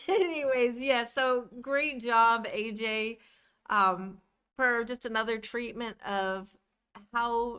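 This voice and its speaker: Very slowly and with big swings in loudness, a woman with a fairly high pitch and ordinary variation speaks in a bright, sharp tone with a Midwestern American accent. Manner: slurred, words run together.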